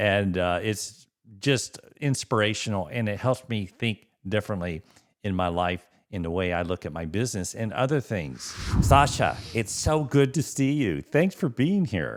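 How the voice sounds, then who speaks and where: An unremarkable speaking voice from a man, fairly low in pitch, with lively intonation. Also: moderate pace. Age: 60s. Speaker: dentist and podcast host. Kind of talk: podcast interview intro.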